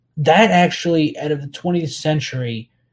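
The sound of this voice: Speaking with an American accent, a man has a fairly high pitch, a slightly mellow tone and ordinary pitch variation.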